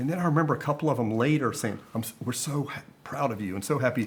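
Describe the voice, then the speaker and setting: With a Southern US accent and lively intonation, a man talks very fast. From US South, South Carolina. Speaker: media executive. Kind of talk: casual interview. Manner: halting.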